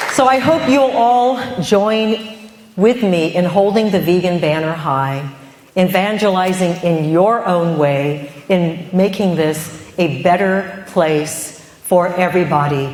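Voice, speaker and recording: With audible room echo and noticeable background noise, a woman with a fairly low voice speaks at a very slow pace, her loudness very even and her pitch variation ordinary. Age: 50s. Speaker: vegan food entrepreneur and cookbook author. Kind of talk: conference talk. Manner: animated.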